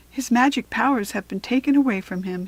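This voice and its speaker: A woman puts on a character voice, pitched high. She speaks at a fairly quick pace. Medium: read story.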